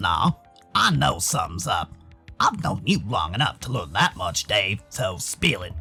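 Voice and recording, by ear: Over faint background music, a man uses a put-on character voice with a fairly low pitch at a moderate pace.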